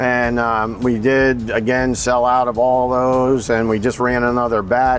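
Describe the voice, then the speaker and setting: A man with an American accent talks while noticeable background noise plays behind him. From US Northeast (northern New Jersey, upstate New York). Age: 60s. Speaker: firearms company owner. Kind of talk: trade show vlog, product walkthrough. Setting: trade show floor. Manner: casual, filler-heavy.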